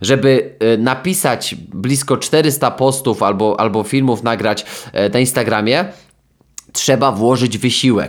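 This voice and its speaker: Using an ordinary speaking voice, a man talks at a fairly slow pace and a medium pitch. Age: 20s. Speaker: sports psychologist and podcast host. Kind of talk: solo podcast monologue. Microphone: new microphone.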